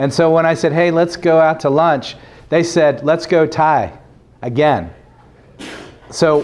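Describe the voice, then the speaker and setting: Amid audible room echo, a man with a fairly high pitch talks at a moderate pace in an animated tone, keeping his loudness very even and taking long, frequent pauses. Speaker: religious program presenter. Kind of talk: testimony. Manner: animated, loud.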